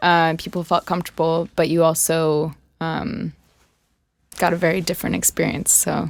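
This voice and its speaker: With vocal fry in her fairly low voice, a woman speaks at a moderate pace in a flat monotone. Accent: American. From France, near Versailles. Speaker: rock band lead singer. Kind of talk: casual interview chat. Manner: many filler words (um, uh).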